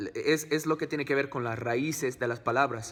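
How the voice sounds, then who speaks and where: A man speaks at a medium pitch with an English accent. His intonation stays fairly even. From United States. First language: English (speaking Spanish). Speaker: family vlogger. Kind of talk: vlog talk to camera. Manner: halting, many fillers.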